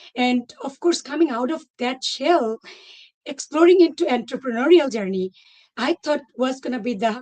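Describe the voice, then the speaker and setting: Speaking with a non-native accent, a woman uses a high pitch and lively intonation. Her pace is moderate. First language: not English. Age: 40s. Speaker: former teacher turned entrepreneur. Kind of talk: testimony. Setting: live online session.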